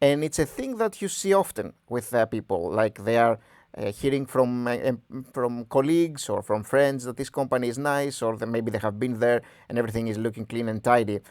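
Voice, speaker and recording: This man speaks at a medium pitch with a Greek accent, on a very clean recording with a silent background. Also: ordinary pitch variation. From Greece. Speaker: stock analysis youtuber. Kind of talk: tutorial. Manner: halting.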